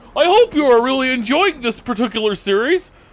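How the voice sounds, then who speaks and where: A put-on character voice, high-pitched and fairly quick. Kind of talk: dweeby.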